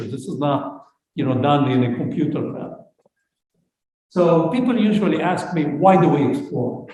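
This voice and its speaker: A man talks at a moderate pace with a fairly high pitch. There is audible room echo. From Lebanon. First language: Arabic. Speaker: space scientist. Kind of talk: lecture.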